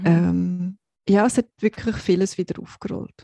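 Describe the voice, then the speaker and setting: Set against a quiet background in a dry, close sound with no echo, a woman speaks fairly slowly at a medium pitch with fairly even intonation and a dark, mellow tone. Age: 40s. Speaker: podcast co-host. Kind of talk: personal testimony.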